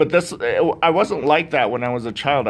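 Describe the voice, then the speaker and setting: A man speaks with a fairly high pitch and lively intonation. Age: 40s. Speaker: YouTuber and convention panel member. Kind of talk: convention panel talk. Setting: convention panel with audience. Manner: halting.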